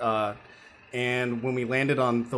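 With an American accent, a man speaks at a medium pitch in fairly even intonation, an unremarkable speaking voice. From US, New York. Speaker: filmmaker and graphic novel author. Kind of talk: casual interview chat.

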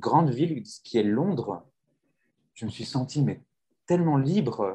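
A man speaks with lively intonation. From rural France. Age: 20s. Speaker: podcast host and French teacher. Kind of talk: casual chat.

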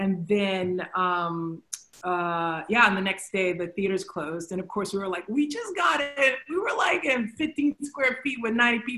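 Lively, fairly slow speech from a woman at medium pitch with an American accent, over noticeable background noise. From Texas. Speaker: theater director. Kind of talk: casual interview. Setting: video call.

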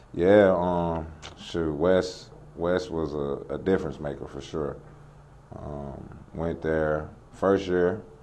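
In audible room echo, a man with a very deep, low pitch speaks at a very slow pace, his intonation fairly even but his loudness swinging widely. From North Carolina, Lexington. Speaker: former pro basketball player and trainer. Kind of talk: casual interview. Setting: new basketball training facility.

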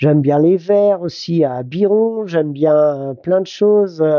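A man speaks in a fairly high voice with ordinary pitch variation. His pace is very slow. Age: 60s. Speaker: cabinetmaker and furniture restorer. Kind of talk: interview. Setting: workshop. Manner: halting.

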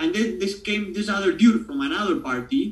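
Noticeable background noise surrounds this speaker with an Argentine accent. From Buenos Aires, Argentina. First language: Spanish. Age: 20s. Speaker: guest talking about his country. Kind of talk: casual interview chat.

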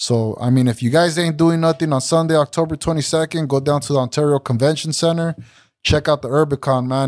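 An unremarkable speaking voice from a man with an American accent and a fairly high pitch, at a fairly quick pace with fairly even intonation, in a very clean recording with a silent background. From Santa Ana, California. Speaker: rapper. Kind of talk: casual chat. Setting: studio.

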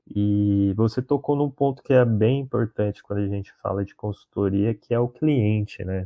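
This man has an unremarkable speaking voice, fairly low in pitch with ordinary pitch variation, moving at a moderate pace with hardly any pauses. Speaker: biologist and podcast host. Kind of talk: casual interview chat. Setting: recorded live stream call.

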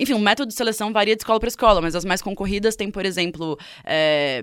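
On a very clean recording with a silent background, a woman of medium pitch speaks at a very fast pace, her pitch varying in an ordinary way. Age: 20s. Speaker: journalist. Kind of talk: radio interview.

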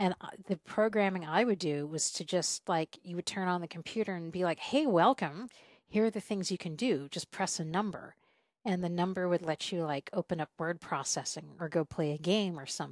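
In an unremarkable speaking voice, a woman with an American accent talks at a moderate pace, her fairly low pitch showing ordinary variation. The sound is dry and close with no echo, over a quiet background. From US South (South Carolina). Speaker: podcast host and traveler. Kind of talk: casual conversation interview.

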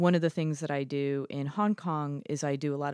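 The woman has a very deep, low pitch and fairly even intonation. The recording is very clean, with a silent background and a dry, close sound with no echo. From Chicago, US Midwest. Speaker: improv comedian and storytelling teacher. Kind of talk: casual chat. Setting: studio.

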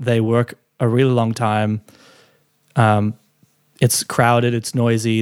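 A man with an Australian accent, medium pitch, flat monotone delivery at a moderate pace, the sound dry and close with no echo. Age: 30s. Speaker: recording and mix engineer. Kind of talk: interview.

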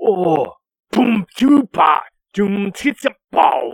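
A man's put-on character voice, high-pitched and very slow. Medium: actual play. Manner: broken, simple speech.

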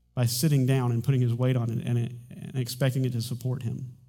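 A man with a medium pitch talks very fast in a dark, mellow tone. His voice is somewhat breathy, with audible room echo. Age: 40s. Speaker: pastor. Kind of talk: sermon. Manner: halting.

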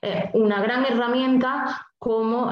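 A Spanish-accented female voice. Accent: Peninsular Spanish. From Spain. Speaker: numerologist. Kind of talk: interview.

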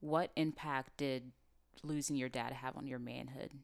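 With vocal fry and a very deep, low pitch, a woman speaks at a moderate pace with fairly even intonation. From Nigerian heritage. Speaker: podcast host. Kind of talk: casual interview.

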